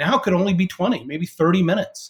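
A man is speaking. He has an American accent. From US West Coast. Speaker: sales executive. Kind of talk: interview conversation. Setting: remote call.

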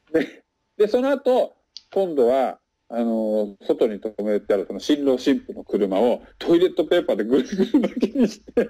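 The tone is dark and mellow. Pitch swings very widely throughout. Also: man, high pitch for a man, moderate pace. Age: 40s. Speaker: salesman and French learner. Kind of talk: casual interview. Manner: frequent fillers and hesitations.

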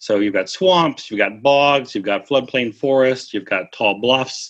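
At a moderate pace, a man talks in a Midwestern American accent over a quiet background. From US Midwest (Missouri, southern Minnesota). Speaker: mystery writer and travel guidebook author. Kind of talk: interview.

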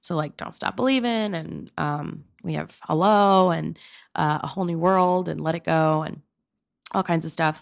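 A woman with an American accent speaks at a moderate pace, her pitch fairly low with ordinary variation. The recording is very clean, with a silent background. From Pennsylvania. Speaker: improv comedian and actor. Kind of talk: casual interview.

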